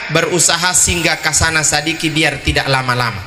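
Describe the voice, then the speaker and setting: A man is speaking over noticeable background noise. The room echo is audible. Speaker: preacher. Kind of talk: sermon.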